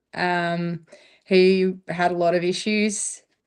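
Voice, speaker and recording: With an Australian accent, a woman talks in a fairly low, monotone voice with flat intonation, in a very clean recording over a silent background. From Victoria, Australia (Ocean Grove). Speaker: dog trainer. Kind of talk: podcast interview.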